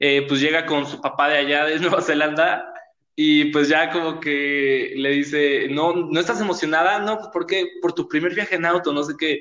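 Fairly even intonation and a moderate pace in an ordinary speaking voice. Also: man, fairly high pitch for a man. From Mexico City. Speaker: podcast host. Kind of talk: casual chat.

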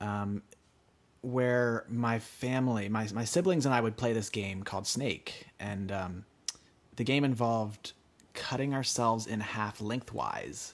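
With a normal speaking voice, a man talks at a medium pitch and a fairly slow pace, with ordinary pitch variation against a quiet background. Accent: American. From rural Pennsylvania, US. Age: 20s. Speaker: artist. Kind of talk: interview storytelling.

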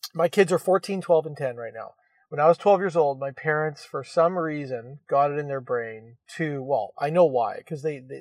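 A man's fairly high voice at a moderate pace, with ordinary pitch variation, big swings in loudness, and a dry, close sound with no echo. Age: 40s. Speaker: podcast host, real estate brokerage. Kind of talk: casual chat. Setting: phone call from parked car.

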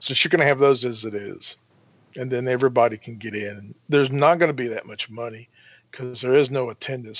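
With a plain, everyday voice, a man speaks at a fairly quick pace in a medium pitch, showing ordinary pitch variation and big swings in loudness. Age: 60s. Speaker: sports podcast panelist. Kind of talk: casual chat.

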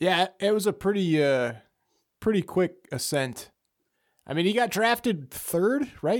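A man's high-pitched voice at a fairly slow pace, with very wide pitch swings and long, frequent pauses, on a very clean recording with a silent background. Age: 30s. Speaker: podcast guest discussing sports. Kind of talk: casual chat.

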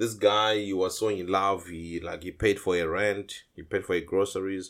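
On a very clean recording with a silent background, a man with a very deep, low pitch speaks at a moderate pace in a monotone, flat intonation. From Zimbabwe. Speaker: podcast guest. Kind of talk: casual chat, storytelling.

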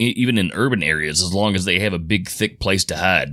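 Fairly low in pitch, a man speaks in a bright, sharp tone at a moderate pace with lively intonation. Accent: Kentucky. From Louisville, Kentucky. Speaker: Bigfoot researcher. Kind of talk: interview storytelling. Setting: studio.

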